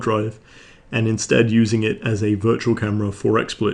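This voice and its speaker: Against a quiet background, a man talks at a moderate pace with a medium pitch. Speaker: streaming tutorial host. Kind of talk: software tutorial narration. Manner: monotone.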